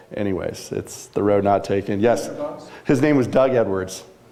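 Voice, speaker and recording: A man speaks with lively intonation over noticeable background noise. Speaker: news industry business executive and speaker. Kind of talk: talk to a live audience. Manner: fast.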